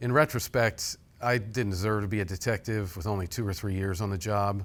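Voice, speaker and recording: On a very clean recording with a silent background, a man with an American accent speaks at a moderate pace with fairly low pitch and fairly even intonation. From central Illinois. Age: 60s. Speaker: professor and former police officer. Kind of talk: interview. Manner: halting.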